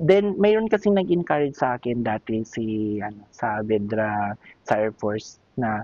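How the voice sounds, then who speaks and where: A man talks fairly slowly, his voice sitting at a medium pitch. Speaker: ship's chief cook. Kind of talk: interview.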